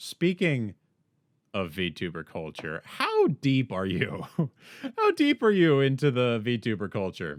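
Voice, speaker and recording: A man with an American accent talks at a very slow pace. His pitch sits in the medium range but swings very widely. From United States. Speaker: podcast host. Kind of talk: podcast interview.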